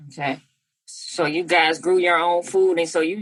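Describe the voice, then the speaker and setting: With a normal speaking voice, a woman talks at a fairly low pitch with fairly even intonation. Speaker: podcast host. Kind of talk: podcast interview.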